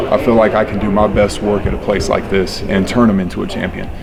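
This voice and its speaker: Amid noticeable background noise and audible room echo, a man with a West Texas accent talks fairly quickly in a fairly low voice. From West Texas, Panhandle. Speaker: high school football coach. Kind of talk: interview.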